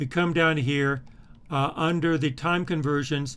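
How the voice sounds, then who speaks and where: A man's fairly high-pitched voice at a moderate pace, with ordinary pitch variation. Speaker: university instructor. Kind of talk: tutorial. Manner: halting.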